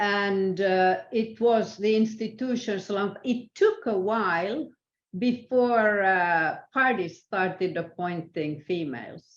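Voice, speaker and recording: Speech comes at a very slow pace in a Swedish accent. The pitch varies in an ordinary way. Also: woman, medium pitch for a woman. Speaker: international arbitrator. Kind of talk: interview. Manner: halting, many fillers.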